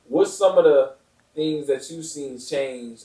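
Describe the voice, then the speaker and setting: Here a man with an ordinary speaking voice talks at a moderate pace with ordinary pitch variation. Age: 20s. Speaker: podcast host. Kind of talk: podcast interview.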